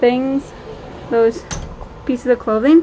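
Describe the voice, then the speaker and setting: A woman's high-pitched voice in a Minnesota accent, with noticeable background noise. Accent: Minnesota dialect with filler words. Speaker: vlogger. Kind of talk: casual vlog chat. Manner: many filler words.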